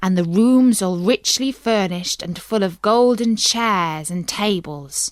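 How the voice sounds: The speaker has a natural reading voice. Pitch moves with ordinary variation.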